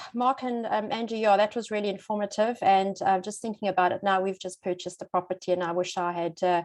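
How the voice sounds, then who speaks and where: With a South African accent, a woman of medium pitch and ordinary pitch variation talks at a fairly quick pace with hardly any pauses against a quiet background. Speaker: psychologist and relocation coach. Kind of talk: webinar presentation.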